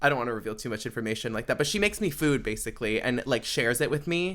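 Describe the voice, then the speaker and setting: Over a silent background in a very clean recording, a man with a normal speaking voice talks at a fairly high pitch with ordinary pitch variation. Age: 20s. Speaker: podcast host. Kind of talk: casual chat. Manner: casual, filler-heavy.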